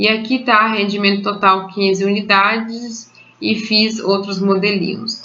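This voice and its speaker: Over noticeable background noise, a woman speaks at a fairly slow pace and medium pitch, with monotone, flat intonation and very even loudness. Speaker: home baker. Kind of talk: recipe tutorial voice-over.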